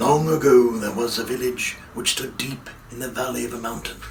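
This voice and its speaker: Someone uses a put-on character voice at a moderate pace, with clear background noise behind it. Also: man, medium pitch for a man. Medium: read story. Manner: solemn.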